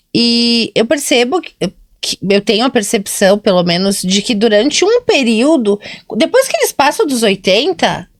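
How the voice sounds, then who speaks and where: Using a plain, everyday voice, a woman talks at a fairly slow pace with lively intonation, the sound dry and close with no echo. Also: fairly high pitch for a woman. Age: 40s. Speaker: nurse and podcast co-host. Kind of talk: casual chat.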